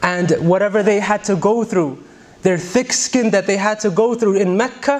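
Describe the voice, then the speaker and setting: Lively intonation runs through a man's speech. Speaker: preacher. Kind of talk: sermon. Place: church. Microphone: studio mic.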